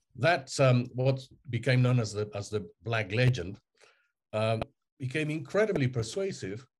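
A man at medium pitch sounds somewhat breathy, moving fairly slowly with lively intonation and long, frequent pauses. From Mexico. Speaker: historian. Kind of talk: interview. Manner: halting.

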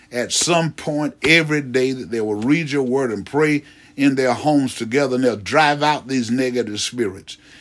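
Speaking at a moderate pace, a man uses a medium pitch with ordinary variation. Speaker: preacher. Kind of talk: fervent extemporaneous intercessory prayer, ecstatic praise. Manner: impassioned, repetitive cries of God and hallelujah; rising emotional intensity, breaking into exclamations.

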